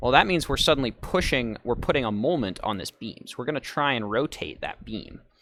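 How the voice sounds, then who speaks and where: Lively intonation marks the man's speech, with noticeable noise behind it. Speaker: engineering seminar instructor. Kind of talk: lecture. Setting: live stream with audio call.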